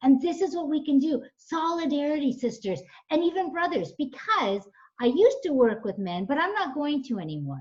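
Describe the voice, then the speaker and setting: Her tone is animated, with very wide pitch swings. The woman speaks at a high pitch and a moderate pace. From Canada. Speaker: nonprofit founder and coach. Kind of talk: radio interview. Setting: radio show.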